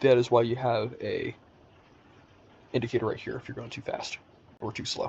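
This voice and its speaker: A man is speaking. His pace is fairly quick. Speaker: gaming tutorial creator. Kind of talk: tutorial. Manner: casual.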